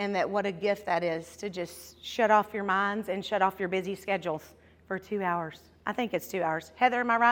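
An ordinary speaking voice comes from a woman at a medium pitch. She speaks at a fairly quick pace with fairly even intonation. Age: 50s. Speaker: devotional speaker. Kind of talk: devotional talk.

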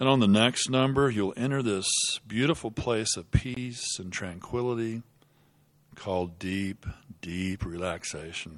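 At a fairly slow pace and with ordinary pitch variation, this is a normal speaking voice. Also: man, fairly low pitch for a man. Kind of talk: hypnosis induction. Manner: slow, soothing, hushed and hypnotic, with repeated phrases like 'deeper and deeper'; gentle, unhurried and rhythmic, counting down with long pauses.

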